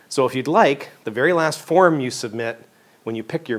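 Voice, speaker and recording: A man with a slight Canadian accent, very fast delivery and lively intonation. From Western Canada, Vancouver. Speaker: professor. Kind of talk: lecture.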